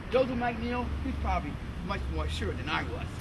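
A man speaks with an American accent at a moderate pace. Loud background noise runs underneath. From United States. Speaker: civil rights activist, orator. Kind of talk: recollection, interview talk. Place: street.

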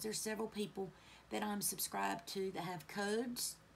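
Somewhat breathy and medium in pitch, a woman's voice comes through with light background noise. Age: 40s. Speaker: beauty YouTuber. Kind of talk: makeup tutorial chat. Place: home room. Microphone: phone near.

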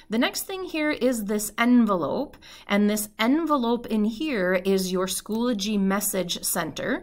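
A woman speaks in an Upper Midwest accent. Her intonation is lively. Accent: Upper Midwest (Minnesota). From northern Minnesota. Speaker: math teacher. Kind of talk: tutorial; casual chat. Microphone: webcam.

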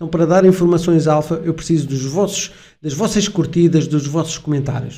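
At a moderate pace, a man talks with a dark, mellow tone and a fairly high pitch. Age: 50s. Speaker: crypto YouTuber. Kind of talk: video commentary. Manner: animated. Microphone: studio mic.

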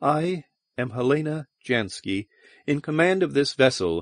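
In a put-on character voice, a man speaks at a moderate pace with a resonant, fairly high pitch that swings very widely. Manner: strong, commanding.

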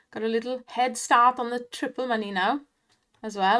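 A woman with a Welsh accent speaks at a fairly slow pace and a fairly high pitch on a very clean recording with a silent background. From Wales, not the valleys, east. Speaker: online slots streamer. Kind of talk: casual live commentary on slot play. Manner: animated, exclamatory.

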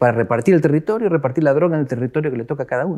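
A man's fairly high voice at a very fast pace, with very wide pitch swings, against a quiet background. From Argentina. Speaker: political scientist; guest. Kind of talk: interview. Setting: office. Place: studio. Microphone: lapel.

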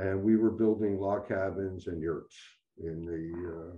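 Against a quiet background, a man with a very deep, low pitch speaks at a very slow pace with fairly even intonation. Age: 80s+. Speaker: pianist. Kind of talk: interview answer. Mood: reminiscing, relaxed. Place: home room. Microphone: video call.

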